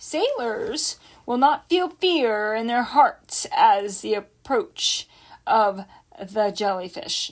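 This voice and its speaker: A woman puts on a character voice with a high pitch. She speaks at a very slow pace. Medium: read story. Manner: pompous, irritable.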